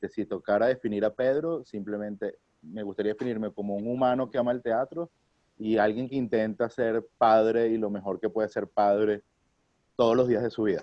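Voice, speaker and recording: A man's plain, everyday voice, medium in pitch, with fairly even intonation and a moderate pace. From Venezuela, Caracas. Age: 30s. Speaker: theatre actor and director. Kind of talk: interview. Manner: casual, with many fillers.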